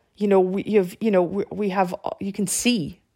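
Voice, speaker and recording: Speaking at a moderate pace, a woman with a Canadian accent keeps a medium pitch and fairly even intonation. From Canada. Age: 40s. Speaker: marketing director. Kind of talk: interview. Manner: hesitant, many fillers.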